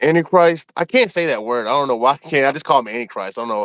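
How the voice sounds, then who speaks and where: Talking at a very fast pace with lively intonation, a man with an American accent sounds dry and close with no echo, in a very clean recording with a silent background. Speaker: former prisoner, channel host. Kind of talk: casual chat. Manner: halting.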